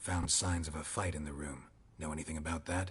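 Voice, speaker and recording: A man's growling put-on character voice, very deep and low, deadpan in tone, at a fairly quick pace. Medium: video game. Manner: terse, deadpan.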